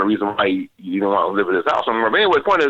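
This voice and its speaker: Animated and bright, sharp in tone, a man with an American accent uses vocal fry and very wide pitch swings, his sound dry and close with no echo. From Minneapolis, Minnesota. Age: 60s. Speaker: childhood friend of a famous musician. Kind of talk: interview storytelling. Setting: podcast.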